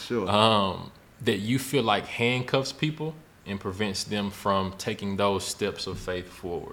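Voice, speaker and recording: Pitch variation is ordinary. The delivery is fairly slow. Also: man, fairly low pitch for a man. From Memphis, Tennessee. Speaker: podcast host. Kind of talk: casual interview.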